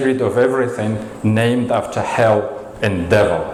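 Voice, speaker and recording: There is audible room echo and noticeable background noise as a man talks with a Russian accent. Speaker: storyteller. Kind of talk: storytelling performance.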